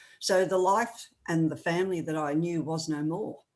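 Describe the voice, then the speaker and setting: Moderate pace with an Australian accent and ordinary pitch variation. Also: woman. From Australia, rural New South Wales. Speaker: author and speaker. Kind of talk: testimony.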